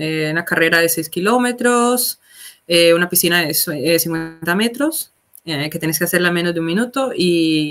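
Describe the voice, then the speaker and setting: Over faint music in the background, a woman speaks at a fairly slow pace in a fairly low pitch with ordinary pitch variation. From Colombia, Palmira (Valle del Cauca); Valle del Cauca, Colombia. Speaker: military corporal in an emergency unit; guest. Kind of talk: casual interview. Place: home room.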